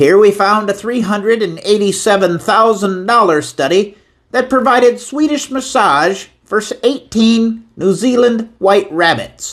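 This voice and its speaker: The speaker puts on a character voice and talks at a fairly slow pace. Pitch varies in an ordinary way while loudness stays very even. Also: man, high pitch for a man. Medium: voice reel.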